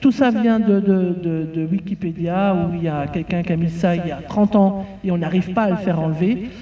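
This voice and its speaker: A woman speaks at a medium pitch with hardly any pauses and a moderate pace. Her pitch variation is ordinary, with noticeable background noise. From Belgium. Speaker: farmer and farm union representative. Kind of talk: conference talk. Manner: halting, many fillers and repetitions.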